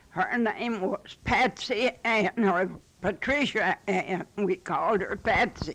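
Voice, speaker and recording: With noticeable background noise, a woman talks at a very slow pace in a Western Kentucky accent, her pitch varying in an ordinary way. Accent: rural Western Kentucky, US South. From Western Kentucky (Marshall County). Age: 80s+. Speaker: elderly interviewee. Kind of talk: oral history interview. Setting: her home.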